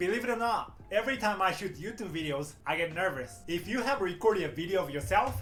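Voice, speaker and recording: Over music in the background and audible room echo, a man with a Japanese accent speaks at a very fast pace with hardly any pauses, his high pitch carrying lively intonation. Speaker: English teacher. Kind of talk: YouTube tutorial. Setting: speaking to camera.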